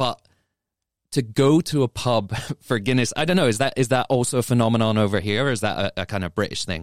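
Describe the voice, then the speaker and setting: A man with an English accent at a very fast pace, in a dry, close sound with no echo, on a very clean recording with a silent background. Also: medium pitch for a man, ordinary pitch variation. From England. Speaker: drinks magazine editor and podcast host. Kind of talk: casual chat.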